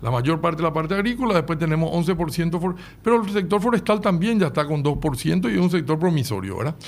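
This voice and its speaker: A man's high-pitched voice with a Paraguayan accent, lively intonation and a fairly quick pace. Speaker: livestock industry representative. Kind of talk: radio interview.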